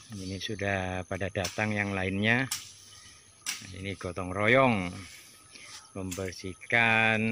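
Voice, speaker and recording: Noticeable background noise sits under a man speaking very slowly in a flat monotone at a fairly low pitch, the sound dry with no echo. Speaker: vlogger filming community work. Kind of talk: casual vlog commentary. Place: open country. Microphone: phone near.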